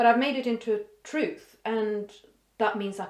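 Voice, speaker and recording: With a Swedish accent and a fairly high pitch, a woman speaks at a fairly slow pace amid audible room echo. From Sweden. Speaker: vlogger. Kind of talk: casual vlog monologue. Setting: home office. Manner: halting, thinking aloud.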